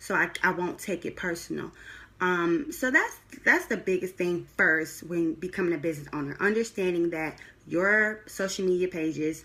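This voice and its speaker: Her tone is bright and sharp. This woman has a slight Southern US accent. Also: fairly low pitch for a woman, ordinary pitch variation, moderate pace. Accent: slight Southern twang. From US South. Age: 20s. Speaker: publicist. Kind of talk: live video class. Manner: conversational with fillers.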